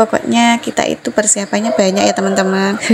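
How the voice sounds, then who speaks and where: A woman with a medium pitch talks at a fairly quick pace over noticeable background noise. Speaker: housewife vlogger. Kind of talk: vlog voice-over. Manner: casual, chatty.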